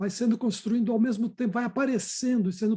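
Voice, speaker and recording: The tone of this man's voice is dark and mellow. It sits at a high pitch. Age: 70s. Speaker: psychodrama director. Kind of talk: group discussion.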